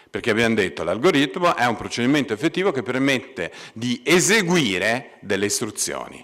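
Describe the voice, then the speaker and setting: Over a quiet background, a man talks at a fairly quick pace with vocal fry and very wide pitch swings. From Italy, Pisa (Tuscany); Tuscany, Italy. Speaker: computer science professor. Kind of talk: lecture. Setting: stage with audience. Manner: halting, many fillers. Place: hall. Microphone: podium.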